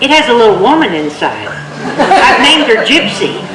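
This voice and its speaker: Over noticeable background noise, a woman speaks in a high voice with lively intonation. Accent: American. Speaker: storyteller. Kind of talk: tall-tale storytelling performance. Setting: live stage with microphone. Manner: humorous, conversational.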